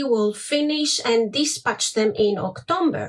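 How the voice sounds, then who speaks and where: A woman's high voice in a Greek accent, with very wide pitch swings. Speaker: small business owner, crafter. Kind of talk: product showcase livestream. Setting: facebook live. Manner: hesitant, many fillers.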